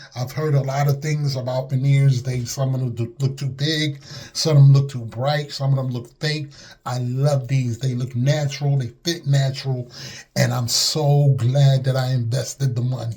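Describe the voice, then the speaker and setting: A man speaks at medium pitch and a moderate pace, with a dark, mellow tone. His delivery is somewhat breathy, with monotone, flat intonation. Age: 60s. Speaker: customer giving testimonial. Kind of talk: testimony. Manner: casual, hesitant.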